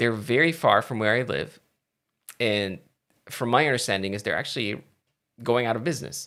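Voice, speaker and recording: A man with a slight Filipino accent speaks at a medium pitch with lively intonation. His bright, sharp tone carries some vocal fry. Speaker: tech and gaming streamer. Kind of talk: casual live stream chat. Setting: live stream from home. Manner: hesitant, many fillers.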